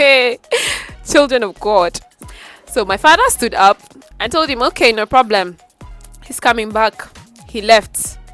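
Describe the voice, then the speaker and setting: Music plays in the background as a woman speaks at a fairly slow pace with long, frequent pauses, lively intonation and big swings in loudness, in a dry, close sound with no echo. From Nigeria. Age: 20s. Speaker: voiceover artist. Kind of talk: casual storytime to camera.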